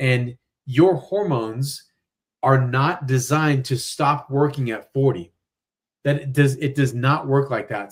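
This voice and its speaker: Speaking at a fairly slow pace, a man with a fairly high pitch sounds somewhat breathy and animated in tone. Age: 40s. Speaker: weight loss doctor, former chiropractor. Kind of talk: live-streamed interview. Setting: live stream.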